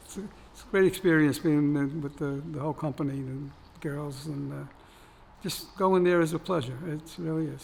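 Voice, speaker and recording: Speaking in an American accent, a man with a fairly high, somewhat breathy voice keeps a moderate pace while his loudness swings widely. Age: 80s+. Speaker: retired firefighter and war veteran. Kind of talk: interview. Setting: video interview on camera. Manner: hesitant, repetitive.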